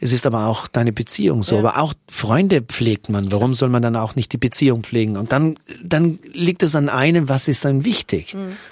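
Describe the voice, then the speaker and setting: In a dry, close recording with no echo, a man with an ordinary speaking voice talks at a moderate pace and medium pitch, using lively intonation and hardly any pauses. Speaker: radio and TV presenter and musician. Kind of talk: casual interview.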